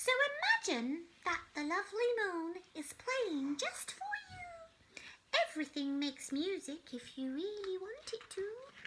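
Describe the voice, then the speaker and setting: A woman's put-on character voice, squeaky and extremely high in pitch, with very wide pitch swings, a fairly slow pace and hardly any pauses. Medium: read story.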